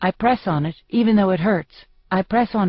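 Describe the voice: With ordinary pitch variation, the text is read aloud plainly.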